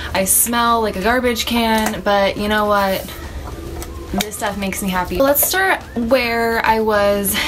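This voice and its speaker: Over noticeable background noise, a woman speaks at a fairly slow pace with fairly even intonation. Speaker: vlogger. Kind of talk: casual vlog chat. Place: home room. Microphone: camera far.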